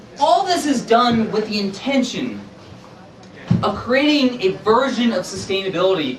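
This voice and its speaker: An extremely high-pitched man speaks at a moderate pace with lively intonation. Noticeable background noise and audible room echo are in the recording. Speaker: author and sustainability activist. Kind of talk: public presentation. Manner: loud, projecting voice.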